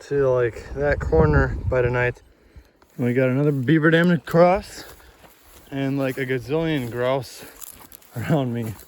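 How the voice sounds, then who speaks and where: At a fairly slow pace, a man speaks in a fairly high voice with ordinary pitch variation. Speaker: student and solo backpacker. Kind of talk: casual vlog narration to camera. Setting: outdoors.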